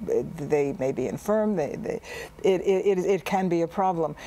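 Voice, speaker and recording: A woman's fairly low pitch with ordinary variation at a moderate pace, over noticeable background noise. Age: 70s. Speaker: artist. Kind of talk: tv interview.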